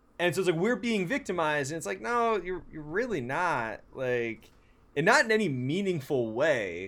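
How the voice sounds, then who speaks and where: On a very clean recording with a silent background, a man with an American accent speaks at a moderate pace, his fairly high pitch moving in very wide swings. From San Francisco, US West Coast. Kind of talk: casual chat.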